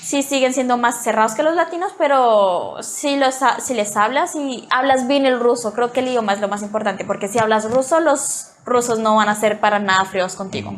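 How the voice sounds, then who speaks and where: A woman speaks with a high pitch at a moderate pace. She barely pauses. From Colombia, Bogotá. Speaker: student, interviewee. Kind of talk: interview.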